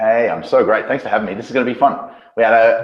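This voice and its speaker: With an Australian accent, a man speaks at a very fast pace. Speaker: business coach. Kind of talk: interview on video call.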